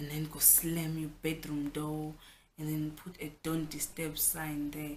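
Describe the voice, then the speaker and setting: A woman's very deep, low voice in a South African accent, somewhat breathy, at a fairly slow pace. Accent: South African (Xhosa) English. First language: Xhosa. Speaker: vlogger. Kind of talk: casual vlog talk. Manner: animated.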